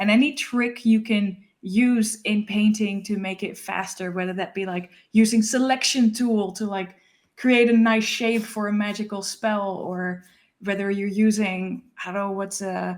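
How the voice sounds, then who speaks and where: Very clean recording, silent background: a woman with a Dutch accent reads at a fairly slow pace in a medium pitch and monotone, flat intonation. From Netherlands. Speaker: illustrator, author. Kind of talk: casual interview chat.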